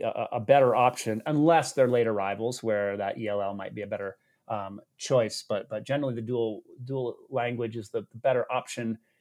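Speaking at a fairly quick pace with an American accent, a man of medium pitch shows ordinary pitch variation on a very clean recording with a silent background. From Massachusetts. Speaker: podcast host. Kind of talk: interview. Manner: halting, many restarts.

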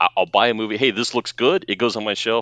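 A man's fairly low-pitched voice with a bright, sharp tone at a fairly quick pace, dry and close with no echo, against a quiet background. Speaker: patron and guest co-host. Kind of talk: casual chat.

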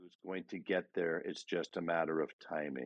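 This man has a very deep, low pitch. His voice carries vocal fry. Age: 60s. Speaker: life coach. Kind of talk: motivational talk. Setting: live audio room.

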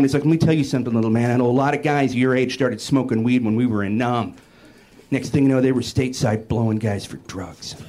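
Very fast speech from a man at medium pitch, with audible room echo and noticeable background noise. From US Pacific Northwest, Seattle. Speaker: stand-up comedian. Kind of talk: stand-up. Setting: stage with audience.

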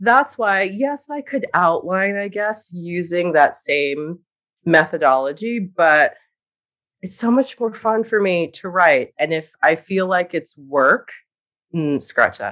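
Using lively intonation, a woman with an American accent speaks at a very slow pace and a medium pitch. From grew up moving around as a military child, US. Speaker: author and writing coach. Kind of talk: interview.

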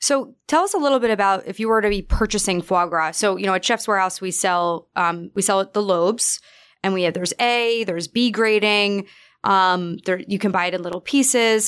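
An American accent marks this woman's unremarkable speaking voice, medium in pitch and fairly quick, with ordinary pitch variation, in a very clean recording with a silent background. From New York. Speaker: podcast co-host. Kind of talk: casual chat and interview.

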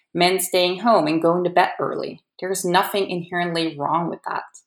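In a Dutch accent, a woman speaks at medium pitch and a moderate pace. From Netherlands, Amsterdam. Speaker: editor. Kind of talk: prepared talk.

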